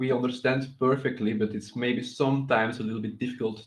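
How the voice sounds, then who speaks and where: A man with a non-native accent at a medium pitch. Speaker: crypto project founder. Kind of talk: video call interview. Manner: halting.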